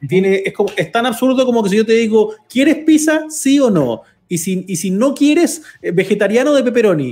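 Speaking at a moderate pace, a man with a Chilean accent uses an extremely high pitch and lively intonation. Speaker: podcast co-host. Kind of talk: casual chat.

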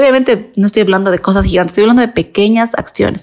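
A woman's medium-pitched voice with ordinary pitch variation, an ordinary speaking voice. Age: 30s. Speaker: makeup artist and podcast host. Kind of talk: casual monologue.

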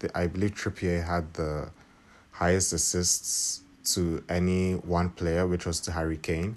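A man speaks with a very deep, low pitch in a monotone, flat delivery. His pace is fairly slow, and the background is quiet. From Nigeria. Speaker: football podcast host. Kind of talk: solo commentary podcast. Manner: hesitant with fillers.

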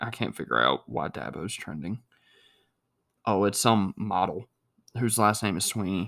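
A man's fairly low voice in an American accent, with vocal fry, a bright, sharp tone, very wide pitch swings and a moderate pace. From North Carolina. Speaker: podcast host. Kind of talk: casual chat.

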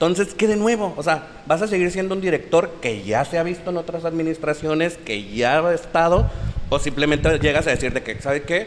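Against noticeable background noise, a man with a high pitch speaks at a fairly quick pace with lively intonation. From La Paz, Baja California Sur. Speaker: talk show host.

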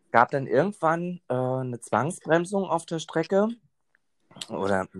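Pausing long and often, a man speaks at a fairly slow pace in a dry, close sound with no echo. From Berlin. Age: 20s. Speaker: train conductor. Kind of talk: interview. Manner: hesitant, many fillers.

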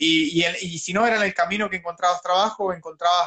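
At a moderate pace, a man speaks with fairly even intonation. His pitch is high. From Chile, Talcahuano. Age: 30s. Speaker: long-term budget traveler. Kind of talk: casual chat. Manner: halting.

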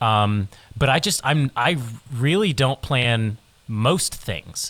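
A man with a plain, everyday voice, medium pitch and lively intonation, in a very clean recording with a silent background. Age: 20s. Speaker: musician. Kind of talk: casual chat.

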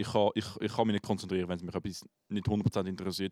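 A man with a Swiss accent speaks at a very fast pace in a very deep, low pitch, his tone dark and mellow and his intonation monotone and flat. The recording is very clean with a silent background, its sound dry and close with no echo. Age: 20s. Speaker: podcast host, musician. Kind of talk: casual chat.

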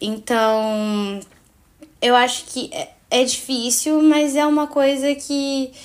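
Very slowly and with lively intonation, a woman speaks in a high voice. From Cape Verde, Fogo island. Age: 20s. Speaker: university student, podcast guest. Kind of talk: casual Bible study discussion.

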